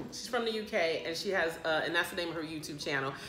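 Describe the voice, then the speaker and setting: A woman's fairly low voice in an American accent with ordinary pitch variation, audible room echo and noticeable background noise. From United States. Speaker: plant vlogger. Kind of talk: casual chat. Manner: rambling, hesitant with many fillers.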